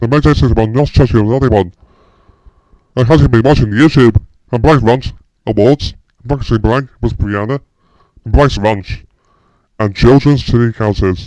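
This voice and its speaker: A man performs a put-on character voice at a medium pitch and a moderate pace. He leaves long, frequent pauses. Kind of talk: cheerful greeting to viewers. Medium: voice reel. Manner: upbeat.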